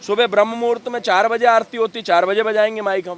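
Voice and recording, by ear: The man's voice has a fairly bright tone. The sound is dry and close, with no echo.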